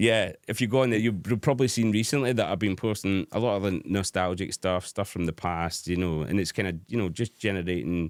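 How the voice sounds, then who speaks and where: With a Scottish accent, a man talks at a fairly quick pace with hardly any pauses, his loudness very even. His pitch is fairly low with ordinary variation, on a very clean recording with a silent background. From Scotland. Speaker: hard dance DJ. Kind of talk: casual chat. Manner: halting.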